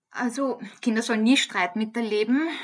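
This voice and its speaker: A woman in a normal speaking voice talks at a fairly high pitch and moderate pace with fairly even intonation, over a quiet background. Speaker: head of a university social work department. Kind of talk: interview.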